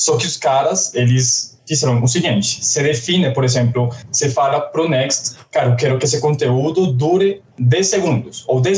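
Against noticeable background noise, a man with a Colombian accent speaks at a moderate pace in a fairly high pitch with ordinary pitch variation. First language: Spanish (speaking Portuguese). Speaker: software developer. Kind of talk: casual tech podcast discussion.

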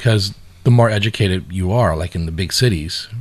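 A man's very deep, low voice with vocal fry. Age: 50s. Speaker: podcast co-host. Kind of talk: casual chat.

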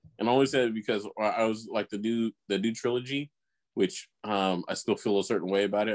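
A man speaks very fast in an American accent, his pitch fairly low. The sound is dry and close, with no echo. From US suburb. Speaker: podcast co-host. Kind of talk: casual chat.

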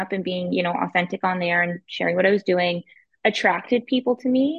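At a fairly quick pace, a normal speaking voice moves with ordinary pitch variation. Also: woman. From Ottawa, Ontario, Canada. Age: 30s. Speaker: real estate investor. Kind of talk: casual interview. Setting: video call.

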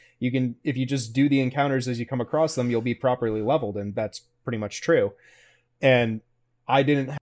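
A man with an American accent speaks at a very fast pace with fairly even intonation on a very clean recording with a silent background. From US South. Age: 30s. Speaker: podcast host. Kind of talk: interview.

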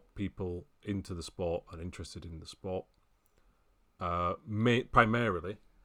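A man with a British accent, ordinary pitch variation and a moderate pace, on a very clean recording with a silent background. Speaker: racing video games website editor. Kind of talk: casual chat.

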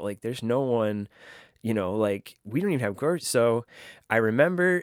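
A man's lively intonation comes through a very clean recording with a silent background and a dry, close sound with no echo. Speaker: podcast host. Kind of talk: solo podcast episode, personal storytelling. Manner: reflective, emotional; conversational, hesitant with filler words.

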